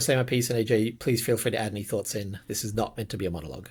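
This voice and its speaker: A somewhat breathy man at a very fast pace, in a very clean recording with a silent background. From Australia. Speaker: podcast host, game designer. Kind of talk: casual podcast chat. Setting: video podcast recording.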